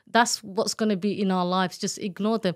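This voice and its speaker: A woman with an East London accent at medium pitch, dry and close with no echo, on a very clean recording with a silent background. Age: 50s. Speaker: domestic abuse survivor and author. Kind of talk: testimony.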